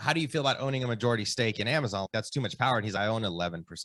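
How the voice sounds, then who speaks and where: A man speaks very fast at a medium pitch with ordinary pitch variation. His tone is bright and sharp. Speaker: real estate entrepreneur. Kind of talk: podcast interview. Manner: loud; casual.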